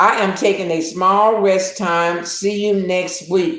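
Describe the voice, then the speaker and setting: A woman with an American accent speaks at a medium pitch. Her pace is very slow. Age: 70s. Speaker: YouTube livestream host. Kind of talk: casual live-stream chat. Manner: animated.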